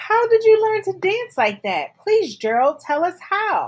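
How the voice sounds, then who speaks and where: A woman's squeaky put-on character voice, extremely high in pitch, at a fairly slow pace. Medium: read story.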